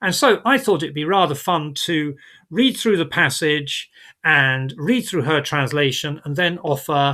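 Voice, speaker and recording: Fairly slow speech from a man with a British accent, fairly high in pitch, bright and sharp in tone, with lively intonation. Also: very clean recording, silent background. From Britain. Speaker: vlogger. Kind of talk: tutorial. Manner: hesitant, many fillers.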